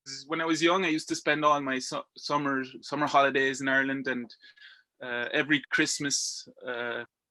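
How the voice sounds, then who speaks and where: A man with a strong Irish accent, a bright, sharp tone, fairly even intonation and a moderate pace, on a very clean recording with a silent background. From Belgium. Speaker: rock climber. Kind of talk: casual interview chat. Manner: halting, many repetitions and fillers.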